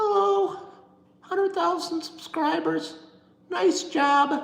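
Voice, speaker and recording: A put-on character voice at an extremely high pitch moves at a very slow pace, with a slight echo. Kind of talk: pretend greeting to subscribers. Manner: small, modest, cheery.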